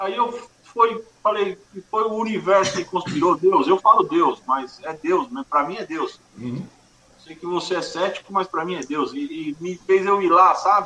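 Over noticeable background noise, a raised, projected voice moves at a moderate pace with lively intonation and big swings in loudness. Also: man, high pitch for a man. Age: 40s. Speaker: music event producer. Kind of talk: casual interview.

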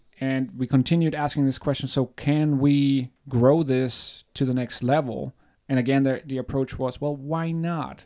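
Recorded very cleanly with a silent background, a man with a German accent speaks at a fairly high pitch and a fairly slow pace, his intonation monotone and flat. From Germany. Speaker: podcast co-host. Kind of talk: casual chat.

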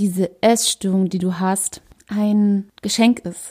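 In a very clean recording with a silent background, a woman speaks at a very slow pace and a medium pitch, her tone dark and mellow and her intonation monotone and flat. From Germany, Berlin. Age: 30s. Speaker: holistic coach, podcast host. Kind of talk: solo podcast monologue. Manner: hesitant, many fillers.

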